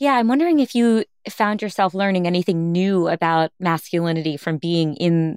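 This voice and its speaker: A woman talks at a fairly quick pace in an ordinary speaking voice, fairly low in pitch, with a dry, close sound and no echo. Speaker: podcast host interviewer. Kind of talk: interview.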